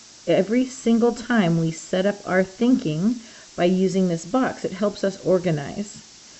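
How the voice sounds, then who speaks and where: A woman's lively intonation at a fairly slow pace, with noticeable background noise. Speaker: math teacher. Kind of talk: recorded math lesson. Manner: conversational, thinking aloud.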